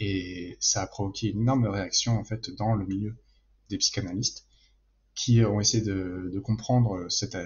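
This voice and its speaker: A man talks in a somewhat breathy voice. His intonation is fairly even. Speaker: political science PhD student. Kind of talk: interview answer. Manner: calm, measured.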